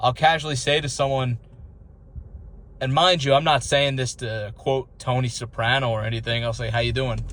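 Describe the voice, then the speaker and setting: A man with a New York accent speaks at medium pitch and a moderate pace. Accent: mild New York. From Long Island, New York. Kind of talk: casual talk to camera.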